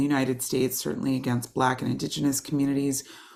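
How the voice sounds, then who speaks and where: Speaking very fast with an American accent, a woman holds a very deep, low pitch in a monotone, flat delivery. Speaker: professor. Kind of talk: lecture. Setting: video call. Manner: halting, many fillers.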